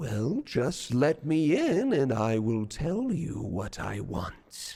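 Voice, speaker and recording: A man speaks in a fairly high put-on character voice. His pace is very slow. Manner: coaxing, sly.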